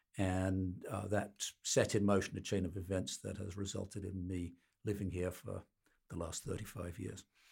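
On a very clean recording with a silent background, a man with a Birmingham accent speaks at a moderate pace, his very deep, low voice somewhat breathy and his intonation monotone and flat. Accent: English Midlands, Birmingham. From Birmingham, England (Midlands). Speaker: patent litigator. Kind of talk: interview.

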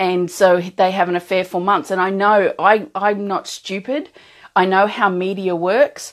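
A medium-pitched woman in an Australian accent, fairly slow and monotone, against a quiet background. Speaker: emotional strength coach. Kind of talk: live-streamed talk to viewers. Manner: casual, with frequent laughs and fillers.

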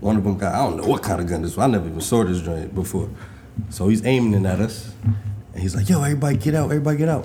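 An American-accented man talks very fast in a fairly low pitch with lively intonation, and audible room echo surrounds his voice. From New York. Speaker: podcast co-host. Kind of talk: casual chat.

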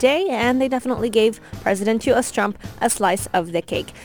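Lively intonation at a moderate pace. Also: woman. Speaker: radio host. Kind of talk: radio DJ patter, tech news chat. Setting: radio studio. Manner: upbeat, polished, energetic.

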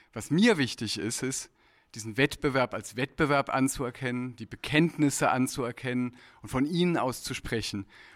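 On a very clean recording with a silent background and a dry, close sound with no echo, a man with a plain, everyday voice speaks at a moderate pace and medium pitch, with ordinary pitch variation and big swings in loudness. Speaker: jury member, literary editor. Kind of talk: panel discussion. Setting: stage with audience.

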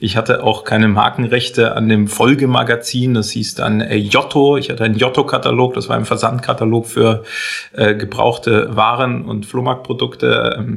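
A man talks at a moderate pace and medium pitch while noticeable background noise runs underneath. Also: fairly even intonation. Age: 30s. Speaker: entrepreneur and coach. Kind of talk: casual interview.

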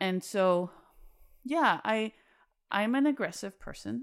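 A woman with an American accent speaks with lively intonation. The recording is very clean, with a silent background. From Salt Lake City, Utah, US West. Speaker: artist. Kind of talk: casual interview. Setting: studio.

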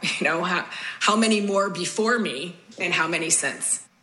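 A woman with an American accent and ordinary pitch variation, noticeable background noise and audible room echo. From Chicago. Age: 60s. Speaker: former lifeguard. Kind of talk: testimony.

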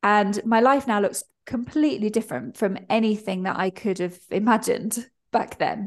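A woman speaks at a fairly high pitch with a British accent. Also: ordinary pitch variation, moderate pace. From Britain. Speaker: freelance pricing mentor. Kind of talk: interview.

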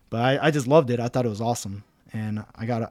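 A man speaks very fast with a Midwestern American accent. His pitch sits in the medium range. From Cincinnati, Ohio, US Midwest. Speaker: military training instructor. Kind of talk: interview.

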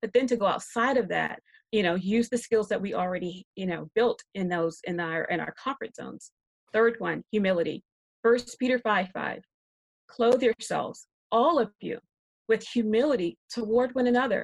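The woman's pitch sits fairly high, with vocal fry. The sound is dry and close, with no echo. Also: ordinary pitch variation, moderate pace. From South Carolina (Rock Hill). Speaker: biblical counselor and writer. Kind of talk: panel discussion.

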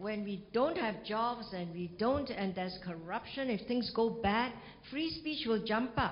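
With a fairly high pitch and lively intonation, a woman speaks at a fairly slow pace in a somewhat breathy voice, and the room echo is audible. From Singapore. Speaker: ambassador and university professor. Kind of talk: lecture and Q&A.

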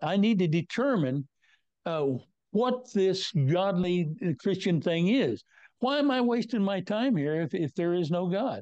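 A man with an American accent, high in pitch with very wide pitch swings, at a fairly slow pace against a quiet background. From US Midwest (northwest Kansas). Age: 90s. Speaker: retired meteorologist, former hurricane center director. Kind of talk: interview. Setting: video call.

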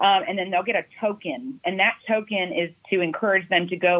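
Speaking at a moderate pace, a woman with a plain, everyday voice and an American accent uses a medium pitch and ordinary pitch variation. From Destin area, Florida Panhandle. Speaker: event organizer, marketing agency. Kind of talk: casual interview.

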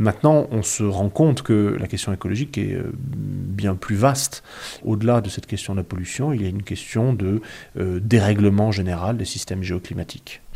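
This man's voice is fairly low and somewhat breathy. Its tone is dark and mellow. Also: ordinary pitch variation, moderate pace. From southern France. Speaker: historian. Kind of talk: interview. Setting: dining room table at home.

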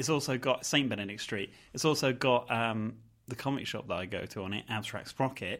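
A man with an East Anglian accent talks at a fairly quick pace and medium pitch, with ordinary pitch variation, on a very clean recording with a silent background. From Norwich, England. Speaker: horror film podcast host. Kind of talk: casual chat.

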